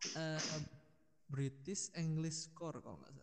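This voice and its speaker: A man talks at a moderate pace with a fairly high pitch. His tone is dark and mellow. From Sidoarjo, East Java, Indonesia. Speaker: recent university graduate. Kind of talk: casual podcast interview.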